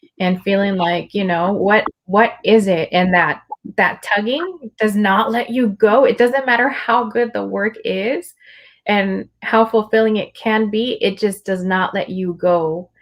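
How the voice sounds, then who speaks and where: This woman talks at a fairly slow pace in a Spanish accent. Her pitch is medium, with ordinary variation. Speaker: livestream host and poet. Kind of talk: casual conversation. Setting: livestream video call.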